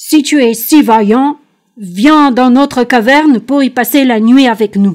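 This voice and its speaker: A woman's put-on character voice, high-pitched, at a fairly slow pace. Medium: read story. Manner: gruff, scornful.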